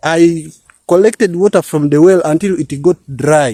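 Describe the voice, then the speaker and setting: In a dry, close recording with no echo, a man speaks very slowly at a high pitch. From Uganda. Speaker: farmer and village vlogger. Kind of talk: casual vlog talk. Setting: outdoors in a garden. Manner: halting, repeats words.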